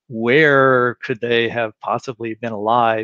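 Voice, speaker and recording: Against a quiet background, a man speaks in a dry sound with no echo. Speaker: guest. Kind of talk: interview answer. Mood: thoughtful, explanatory. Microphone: headset.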